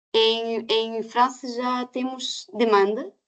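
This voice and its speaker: Against a quiet background, a woman with a non-native accent speaks at a very slow pace and a fairly high pitch. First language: not Portuguese (speaking Portuguese). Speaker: certification scheme representative. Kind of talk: webinar Q&A answers. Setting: online webinar. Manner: halting, many hesitations.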